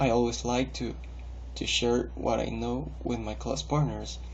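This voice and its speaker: In a room with audible echo, a man with a Spanish accent talks at a moderate pace. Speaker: english learner. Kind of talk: recorded video monologue. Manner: hesitant with fillers and repetitions.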